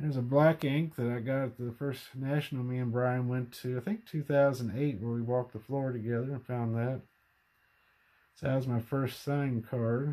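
A man's dark, mellow voice at a moderate pace, with fairly even intonation. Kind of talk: casual collection show-and-tell. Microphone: phone near.

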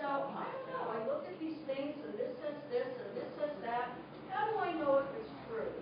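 At a moderate pace, a high-pitched woman speaks with very wide pitch swings, audible room echo and noticeable background noise. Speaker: biotech industry presenter. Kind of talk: public presentation.

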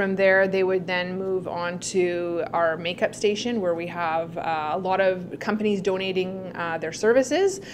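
Against light background noise, a woman with an ordinary speaking voice and fairly low pitch speaks at a moderate pace with fairly even intonation. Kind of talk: interview answer. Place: office.

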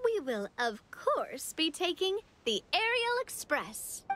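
This is a put-on character voice with a fairly bright tone. It moves slowly and makes big pitch swings. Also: woman, extremely high pitch for a woman.

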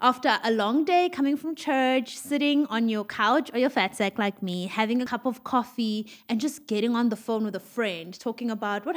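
With hardly any pauses, a woman speaks at a moderate pace and with ordinary pitch variation over a quiet background. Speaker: podcast host. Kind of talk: casual podcast chat. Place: studio. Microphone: studio mic.

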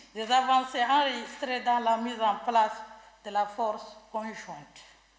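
Speaking at a very slow pace, a woman with a high-pitched voice is heard with audible room echo. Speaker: government minister. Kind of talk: reading an official statement. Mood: formal, measured, official. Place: hall. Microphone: podium.

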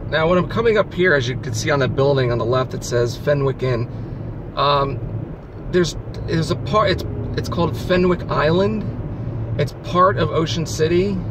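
There is noticeable background noise, though the sound itself is dry with no echo. The man speaks at a moderate pace with lively intonation and long, frequent pauses. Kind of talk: casual vlog chat. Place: car. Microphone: phone near.

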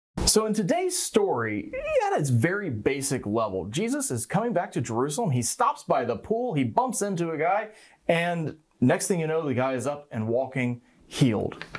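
The pitch swings very widely against a quiet background. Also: man, moderate pace. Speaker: pastor. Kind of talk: sermon. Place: studio. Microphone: lapel.

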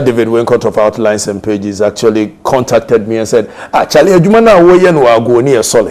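Someone with a Ghanaian accent talks at a moderate pace. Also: man. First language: Twi. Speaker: radio talk show host; radio talk show host as guest. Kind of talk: interview. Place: studio. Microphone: lapel.

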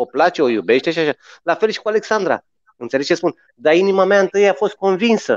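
In a dry recording with no echo and a quiet background, a man speaks very fast in a high pitch with lively intonation. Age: 40s. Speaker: musician. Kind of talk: casual storytelling chat. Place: home room. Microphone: video call.

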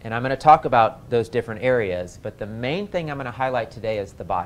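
A man talks at a fairly quick pace with lively intonation over light background noise. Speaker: health class teacher. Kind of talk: lecture. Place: classroom.

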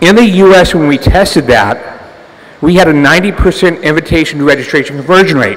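With ordinary pitch variation, a man speaks at a moderate pace in a fairly high pitch. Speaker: entrepreneur, conference speaker. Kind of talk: conference talk. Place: hall. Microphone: podium.

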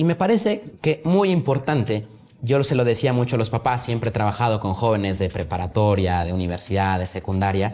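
Lively intonation carries speech at a fairly quick pace. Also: man, medium pitch for a man. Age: 20s. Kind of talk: casual chat. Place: studio.

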